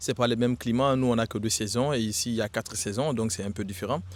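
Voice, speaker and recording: A man with a medium-pitched voice rattles along at a very fast pace. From Guinea. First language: Susu (speaking French). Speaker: retail worker. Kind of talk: street interview. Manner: hesitant, with fillers.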